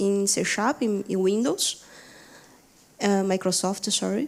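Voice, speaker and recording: On a very clean recording with a silent background, a woman speaks with a Brazilian accent and fairly even intonation. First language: Portuguese. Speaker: software engineer. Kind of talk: conference talk. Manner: halting, many fillers.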